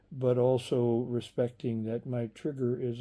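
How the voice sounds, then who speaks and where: At a fairly slow pace, a man speaks in a medium pitch with a dark, mellow tone. His intonation is monotone and flat. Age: 70s. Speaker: video blogger. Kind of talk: personal reflective vlog monologue. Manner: halting, many repetitions and fillers.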